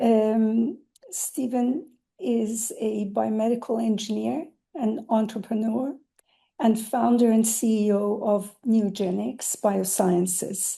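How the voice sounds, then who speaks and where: A woman speaks very slowly in a somewhat breathy voice with a dark, mellow tone, very even loudness and ordinary pitch variation. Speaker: webinar co-host and moderator. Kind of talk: webinar speaker introduction. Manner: hesitant, with filler words.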